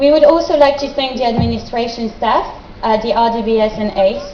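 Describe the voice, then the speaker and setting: Noticeable background noise and audible room echo surround a woman with a French accent. Her pitch is high with ordinary variation, and her pace is moderate. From France. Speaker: graduate student. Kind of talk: speech. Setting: stage with audience. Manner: formal.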